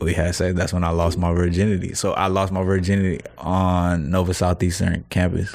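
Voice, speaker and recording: In an American accent, a man with a very deep, low voice speaks in a flat monotone at a very even loudness. He barely pauses, and the room echo is audible. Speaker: rapper. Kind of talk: casual chat.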